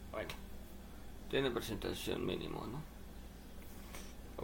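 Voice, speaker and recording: Amid audible room echo, a man with a Mexican accent talks at a very slow pace. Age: 20s. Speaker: livestreamer and sign language student. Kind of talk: casual livestream chat. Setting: live stream at home computer.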